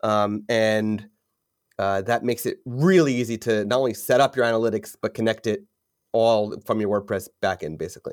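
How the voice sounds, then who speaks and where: A moderately paced, unremarkable speaking voice with ordinary pitch variation. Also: man, medium pitch for a man. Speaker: podcast host. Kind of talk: casual interview.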